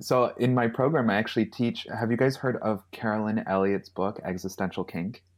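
In an ordinary speaking voice, a man talks at a fairly quick pace with medium pitch and ordinary pitch variation, in a very clean recording with a silent background. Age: 30s. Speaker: astrologer and healer. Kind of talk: casual chat.

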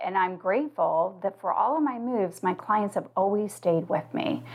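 A plain, everyday voice from a woman with an American accent, medium in pitch, moderate in pace, with lively intonation. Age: 50s. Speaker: financial consultant and coach. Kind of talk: interview conversation.

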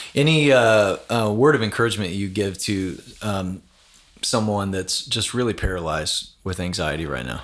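A man speaks in a normal speaking voice with lively intonation. His pace is moderate. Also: fairly low pitch for a man. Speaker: pastor and podcast host. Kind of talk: casual interview conversation. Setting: in person at a conference.

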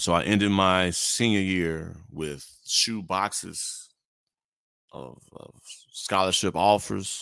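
Bright and sharp in tone, this voice with an American accent moves at a very slow pace with big swings in loudness. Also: man, very deep, low pitch for a man, ordinary pitch variation. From Gary, Indiana (Chicagoland, US Midwest). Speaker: podcaster, former college basketball player. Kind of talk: casual interview chat. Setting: remote call while on another line.

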